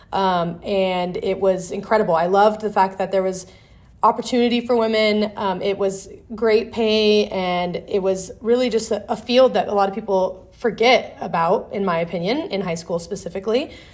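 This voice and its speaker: A woman with an American accent talks at a moderate pace with fairly even intonation. Hers is an unremarkable speaking voice. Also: medium pitch for a woman. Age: 20s. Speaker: electrical contractor CEO. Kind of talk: interview.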